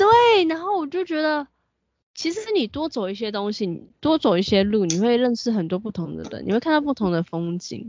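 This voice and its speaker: Her pitch fairly high and swinging very widely, a woman talks at a fairly quick pace. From Taiwan. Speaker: podcast co-host. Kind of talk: casual chat. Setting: home.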